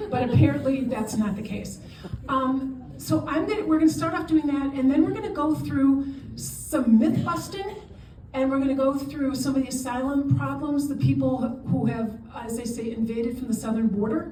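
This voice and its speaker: Audible room echo accompanies a woman with a high pitch and lively intonation. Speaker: immigration lawyer and charity director. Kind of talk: lecture. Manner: fast.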